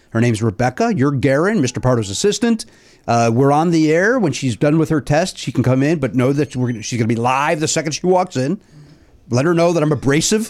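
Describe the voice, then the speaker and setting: A man speaks in a plain, everyday voice at a fairly quick pace, pitched fairly high. His intonation is lively while his loudness stays very even. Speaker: podcast host. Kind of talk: casual comedy chat. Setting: studio.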